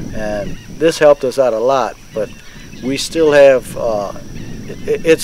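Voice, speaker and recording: This is a man with a fairly high pitch. Noticeable background noise can be heard behind him. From Louisiana, Plaquemines Parish. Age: 60s. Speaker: shrimp fisherman. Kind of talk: interview testimony. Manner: halting, many fillers.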